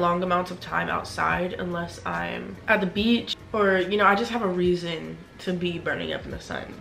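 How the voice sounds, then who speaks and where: A woman talks at a moderate pace with light background noise. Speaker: vlogger. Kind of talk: casual vlog chat. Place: home room. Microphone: phone near.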